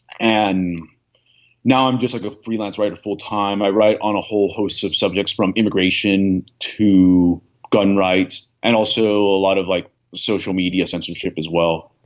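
In a normal speaking voice, a man with a fairly low pitch talks at a moderate pace with fairly even intonation. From United States, born in Venezuela. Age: young. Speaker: political writer. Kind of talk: interview.

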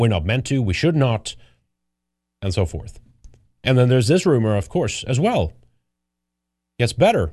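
A man speaks with a Swedish accent at a medium pitch, his tone dark, mellow and somewhat breathy. His pitch swings very widely, with long, frequent pauses over a quiet background. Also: moderate pace. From Sweden. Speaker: political commentary show host. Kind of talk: casual live commentary. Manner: halting.

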